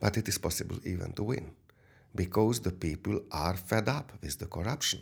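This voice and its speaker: In a very clean recording with a silent background, a man with a fairly low pitch speaks at a moderate pace, his voice somewhat breathy and his intonation lively. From Hungary. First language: Hungarian. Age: 60s. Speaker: businessman. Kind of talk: interview. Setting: studio. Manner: halting.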